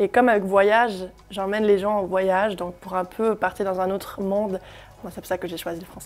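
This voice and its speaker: A woman talks at a fairly quick pace and medium pitch, her intonation monotone and flat while her loudness swings widely. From Germany. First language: German (speaking French). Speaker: singer. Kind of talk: interview. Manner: hesitant, many fillers.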